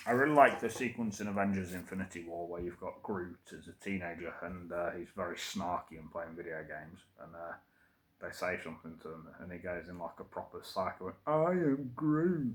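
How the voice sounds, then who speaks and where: With an East Midlands accent, a man talks fairly quickly in a very deep, low pitch, his intonation lively and his loudness swinging widely. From England, Derby. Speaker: vlogger. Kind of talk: casual monologue. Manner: hesitant, many fillers.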